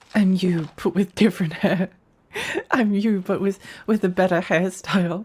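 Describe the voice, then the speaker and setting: A woman talks in a somewhat breathy voice. Her intonation stays monotone and flat. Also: medium pitch for a woman, moderate pace, very even loudness. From Australia. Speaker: video game streamer. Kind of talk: live gameplay stream chat. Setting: live stream. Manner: casual, repetitive.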